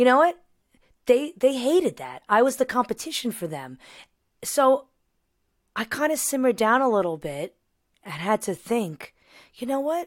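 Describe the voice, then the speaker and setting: At a moderate pace with long, frequent pauses, this New York accent carries very wide pitch swings and big swings in loudness in a very clean recording with a silent background. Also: woman, high pitch for a woman. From New York, Long Island. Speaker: singer and voice teacher. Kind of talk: casual chat.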